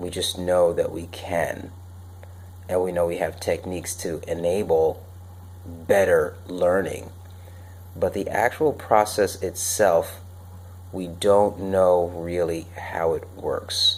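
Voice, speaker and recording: Long, frequent pauses break up a man's very slow speech. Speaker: personal development show host. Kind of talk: unscripted solo talk. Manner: monotone; casual with many fillers.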